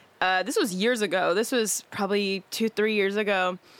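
An ordinary speaking voice from a woman with an American accent, medium pitch, ordinary pitch variation and a fairly quick pace, in a very clean recording with a silent background. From San Diego, California. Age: 20s. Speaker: podcast co-host and business owner. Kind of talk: casual chat.

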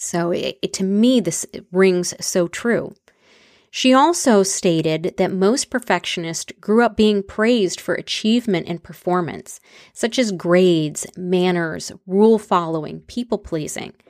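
With an energetic tone, a woman speaks at a fairly slow pace and medium pitch with ordinary pitch variation, recorded very cleanly against a silent background. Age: 40s. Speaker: podcast host and aspiring motivational speaker. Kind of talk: solo monologue podcast.

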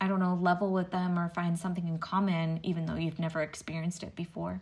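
On a very clean recording with a silent background, the voice comes across somewhat breathy. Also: woman. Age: 30s. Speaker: podcast co-host and interviewer. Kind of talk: casual interview chat.

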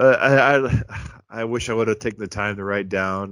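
The background is silent, and the recording is very clean. The speaker is a man with an American accent. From US Midwest. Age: 30s. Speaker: podcast co-host. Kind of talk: casual chat. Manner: monotone.

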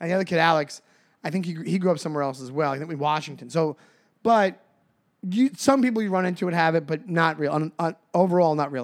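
Very clean recording with a silent background, featuring a man with a high pitch. He talks at a very fast pace with ordinary pitch variation. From Long Island, New York. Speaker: podcast co-host, comedian. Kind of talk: casual chat. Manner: fast talker.

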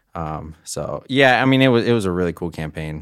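A man speaks at a fairly quick pace with an American accent. The recording is very clean, with a silent background. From US South. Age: 20s. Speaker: composer. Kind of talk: casual chat.

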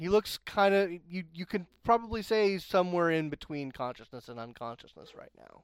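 A man speaks at a moderate pace with hardly any pauses, in a high pitch. His intonation is lively, and his loudness swings widely. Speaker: game storyteller. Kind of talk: tabletop roleplaying game session, narrating and chatting.

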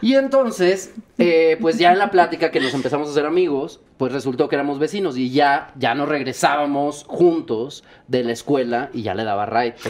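A man talks in an ordinary speaking voice at a moderate pace. His pitch is fairly high and his intonation lively. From Monterrey, Nuevo León, Mexico. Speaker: musical theatre actor and singer. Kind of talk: casual chat.

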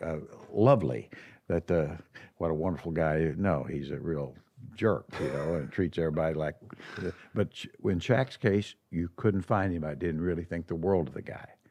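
In an American accent, a man with a very deep, low pitch speaks at a moderate pace with a dark, mellow tone, vocal fry and ordinary pitch variation. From US Midwest. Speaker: podcast host and former basketball executive. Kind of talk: casual interview chat. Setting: studio.

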